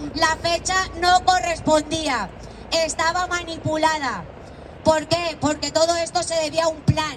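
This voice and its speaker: Against noticeable background noise, a woman with an extremely high pitch speaks slowly-ish at a fairly slow pace and with fairly even intonation. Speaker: protest speaker, flood victim's relative. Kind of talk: protest speech. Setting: outdoor rally with crowd. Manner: impassioned.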